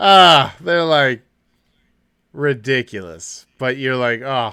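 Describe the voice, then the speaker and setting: Loud and in a bright, sharp tone, a man speaks at medium pitch with lively intonation and a very slow pace, on a very clean recording with a silent background. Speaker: podcast co-host. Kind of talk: casual chat. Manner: animated.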